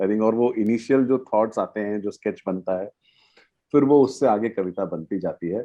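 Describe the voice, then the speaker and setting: With an Odia accent, a man speaks at a moderate pace in a medium pitch, his pitch varying in an ordinary way. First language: Odia (speaking Hindi). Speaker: poet. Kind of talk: interview on a panel. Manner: halting, many fillers.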